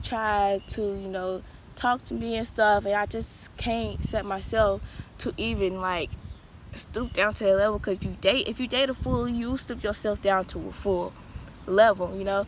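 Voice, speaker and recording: A woman speaks at a fairly slow pace. Her pitch is medium and her intonation fairly even. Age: young. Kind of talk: personal vlog venting.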